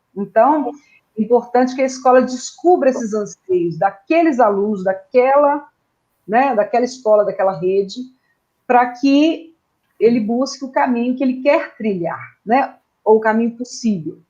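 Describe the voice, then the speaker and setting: A woman's high-pitched voice, dark and mellow in tone, with lively intonation. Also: moderate pace. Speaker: education consultant. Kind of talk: online presentation.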